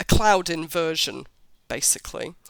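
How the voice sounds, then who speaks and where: On a very clean recording with a silent background, a woman with a British accent speaks in a monotone, flat delivery with vocal fry. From Britain. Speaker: travel blogger. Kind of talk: interview.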